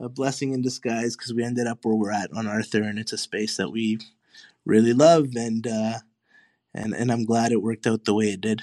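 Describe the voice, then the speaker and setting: Against a quiet background, a man speaks at a medium pitch with fairly even intonation. His tone is dark and mellow. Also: fairly quick pace. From Honduras. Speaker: coffee shop owner and PE teacher. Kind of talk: casual interview.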